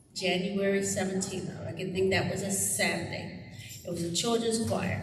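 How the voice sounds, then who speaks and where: There is noticeable background noise and audible room echo. A woman with an American accent talks at a medium pitch with ordinary pitch variation. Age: 60s. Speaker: music teacher. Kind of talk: community event speech.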